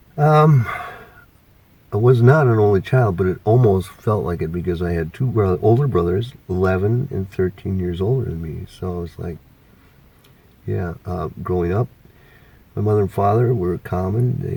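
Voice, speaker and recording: A man's fairly low, somewhat breathy voice with a dark, mellow tone, lively intonation, moderate pace and long, frequent pauses. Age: 60s. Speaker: retiree interviewed about life. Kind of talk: casual interview. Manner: hesitant, many fillers.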